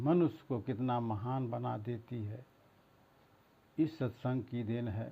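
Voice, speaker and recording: With long, frequent pauses, a man speaks in a medium pitch, somewhat breathy, with ordinary pitch variation. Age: 70s. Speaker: devotional preacher. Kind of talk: devotional talk.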